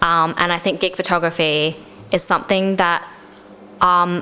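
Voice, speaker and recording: A woman with an Australian accent, fairly low in pitch, monotone and flat at a moderate pace, with noticeable background noise. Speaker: gig photographer. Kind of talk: casual interview. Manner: casual, uses many fillers.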